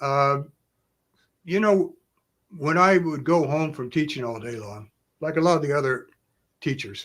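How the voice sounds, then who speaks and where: Fairly high in pitch, a man's voice with a bright, sharp tone comes through on a very clean recording with a silent background. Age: 70s. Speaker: karate grandmaster. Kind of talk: live-stream Q&A. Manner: halting.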